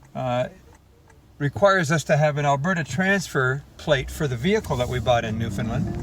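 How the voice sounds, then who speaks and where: Through noticeable background noise, the voice moves at a moderate pace with lively intonation. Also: man, medium pitch for a man. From Canada, Windsor area of Ontario. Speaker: touring musician. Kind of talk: video diary.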